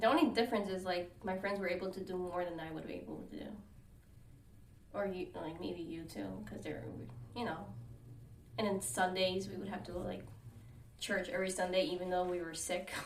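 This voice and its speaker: With an American accent and a medium pitch, a woman speaks at a fairly quick pace with ordinary pitch variation, leaving long, frequent pauses amid noticeable background noise and audible room echo. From United States. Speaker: podcast co-host. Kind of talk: casual chat.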